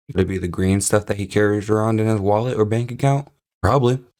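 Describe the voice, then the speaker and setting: In a very clean recording with nothing in the background, the speaker talks fairly quickly. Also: man. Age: 20s. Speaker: YouTube reaction commentator. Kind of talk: reaction commentary. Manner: sarcastic, animated.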